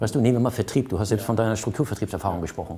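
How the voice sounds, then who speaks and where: The man's tone is dark and mellow. There is a somewhat breathy quality to his voice. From Hamburg, northern Germany. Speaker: entrepreneur and business consultant. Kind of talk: interview. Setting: office overlooking harbour.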